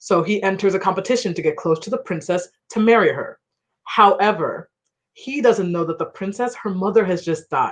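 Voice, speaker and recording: With a plain, everyday voice, a woman talks at a moderate pace and medium pitch, with ordinary pitch variation. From Ghana, raised in US from age 3-4. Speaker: debut novelist. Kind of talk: panel conversation at book launch. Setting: livestreamed online event. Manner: casual, chatty.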